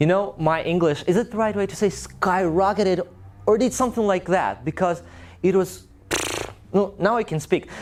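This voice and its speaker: With a Russian accent, a man talks at a moderate pace and a high pitch with ordinary pitch variation, amid noticeable background noise. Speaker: language teacher. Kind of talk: talk to a live audience.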